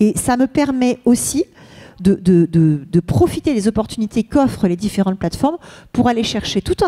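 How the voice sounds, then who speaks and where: A woman speaks at a fairly quick pace with lively intonation and a fairly high pitch. Her tone is dark and mellow, in a dry, close sound with no echo. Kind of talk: conference talk. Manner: fast.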